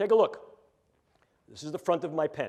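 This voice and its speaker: Speaking with a New York accent, a man has a high pitch and a dark, mellow tone. His pitch varies in an ordinary way. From New York City. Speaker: neuroscience professor. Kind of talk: lecture. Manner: animated.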